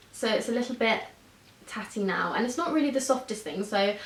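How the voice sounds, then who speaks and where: Over noticeable background noise, a woman talks at a fairly quick pace with a southern English accent. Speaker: beauty vlogger. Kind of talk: casual vlog monologue.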